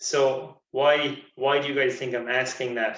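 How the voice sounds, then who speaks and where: Audible room echo surrounds a speaker with an Irish accent. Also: man. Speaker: sports nutritionist. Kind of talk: lecture. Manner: fast.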